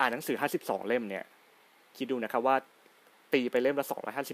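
An unremarkable speaking voice from a man, medium in pitch, with a dry, close sound and no echo. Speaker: podcast host. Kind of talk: solo podcast talk.

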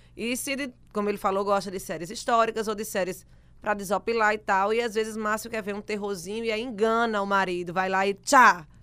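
A woman's bright, sharp tone at a fairly quick pace with fairly even intonation, in a very clean recording with a silent background. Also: medium pitch for a woman. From Rio Grande do Norte, Brazil. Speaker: radio podcast host. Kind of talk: casual chat.

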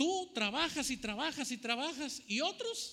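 A man uses a raised, projected voice at an extremely high pitch. His tone is animated, bright and sharp. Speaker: preacher. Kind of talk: sermon preached to a live congregation, with scripture reading. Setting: church with congregation, also streamed online. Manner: animated, repetitive, exhortative, with rhetorical questions to the audience.

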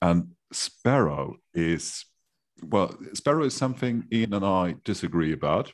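Speaking in a German accent, the voice moves at a fairly slow pace with very wide pitch swings and very even loudness. The recording is very clean, with a silent background. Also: man, fairly low pitch for a man. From Germany. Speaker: podcast co-host. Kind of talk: casual interview chat.

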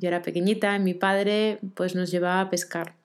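With monotone, flat intonation, a woman speaks at a medium pitch on a very clean recording with a silent background. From Argentina, Rosario. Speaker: podcast host, life coach. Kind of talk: solo reflective monologue.

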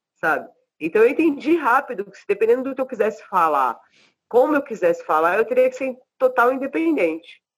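A woman speaks at a high pitch and a fairly quick pace. Both her loudness and pitch swing widely. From Brazil. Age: 40s. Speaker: rapper. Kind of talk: casual interview.

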